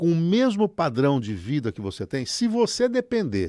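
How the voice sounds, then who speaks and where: On a very clean recording with a silent background, a man's voice shows very wide pitch swings. The sound is dry and close, with no echo. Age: 60s. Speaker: economist. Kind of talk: radio economics commentary.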